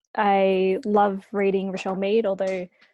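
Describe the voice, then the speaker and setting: A woman speaks with an Australian accent at a medium pitch. Her tone is dark and mellow. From Australia, Sydney. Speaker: author. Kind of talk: interview. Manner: casual, hesitant with fillers.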